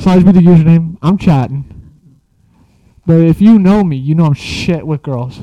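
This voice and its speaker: Moving at a moderate pace, a man speaks at a high pitch with ordinary pitch variation. His tone is dark and mellow. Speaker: podcast host. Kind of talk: casual chat.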